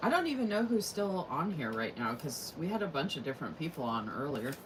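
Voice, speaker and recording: A woman with a very deep, low pitch talks at a fairly quick pace with very wide pitch swings, amid audible room echo and noticeable background noise. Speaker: crafting and planner YouTuber. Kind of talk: casual livestream chat while crafting. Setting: live stream.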